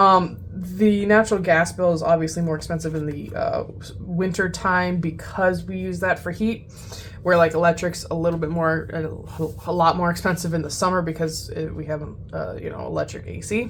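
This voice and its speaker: A woman at a moderate pace, with big swings in loudness, audible room echo and noticeable background noise. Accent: American. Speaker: budgeting youtuber. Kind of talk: casual chat.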